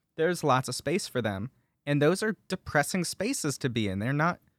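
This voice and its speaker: A man speaks at a fairly quick pace in a fairly high pitch, his intonation lively, on a very clean recording with a silent background. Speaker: podcast host. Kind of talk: casual chat. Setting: studio.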